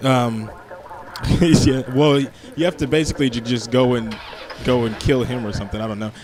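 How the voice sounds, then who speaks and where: Over noticeable background noise, a man speaks at a moderate pace with long, frequent pauses and ordinary pitch variation. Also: medium pitch for a man. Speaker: gaming YouTuber. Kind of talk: let's play commentary. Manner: halting.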